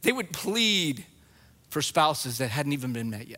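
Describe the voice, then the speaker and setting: On a very clean recording with a silent background, a man speaks in a raised, projected voice. His tone is bright and sharp, and his pace is moderate. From New Mexico. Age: 40s. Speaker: guest preacher and biblical counselor. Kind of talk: sermon. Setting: church with congregation.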